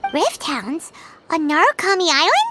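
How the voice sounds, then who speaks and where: A squeaky, put-on character voice at an extremely high pitch and a moderate pace, with music in the background. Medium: video game. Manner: brash, energetic.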